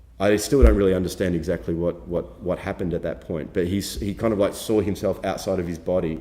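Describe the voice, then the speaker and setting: A man with an Australian accent, a very deep, low pitch, a dark, mellow tone, ordinary pitch variation and audible room echo. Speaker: documentary filmmaker. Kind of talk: workshop lecture. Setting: film festival workshop with audience. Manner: halting, many fillers and repetitions.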